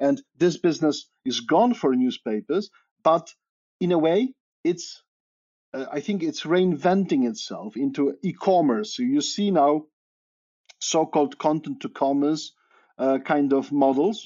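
In a Polish accent, the speaker goes at a fairly slow pace with lively intonation and long, frequent pauses. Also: man, fairly high pitch for a man. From Poland. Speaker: media researcher. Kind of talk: interview. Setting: remote call.

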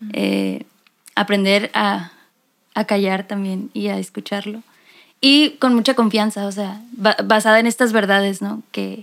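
With a normal speaking voice, the speaker moves at a fairly slow pace and fairly even intonation in a very clean recording with a silent background. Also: woman, medium pitch for a woman. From Mexico, Mexicali. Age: 20s. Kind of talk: casual chat. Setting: recording in same room as other guest.

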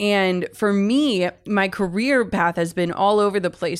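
With an Upper Midwest accent, a woman talks at a fairly quick pace with fairly even intonation. The recording is very clean, with a silent background. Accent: Upper Midwest American. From US Midwest, Minnesota. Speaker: author and podcast host. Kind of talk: interview conversation.

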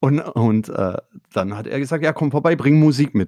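A man with a dark, mellow tone speaks with lively intonation at a moderate pace. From Swabia, Swabian Jura. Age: 50s. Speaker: record label owner and musician. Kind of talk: casual interview. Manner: hesitant.

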